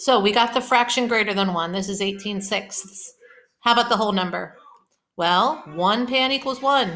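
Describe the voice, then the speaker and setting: A woman with a Pittsburgh accent speaks at a fairly high pitch with ordinary pitch variation, music playing in the background. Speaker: elementary school teacher. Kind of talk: recorded math lesson for kids. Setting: at home. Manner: slow, explanatory.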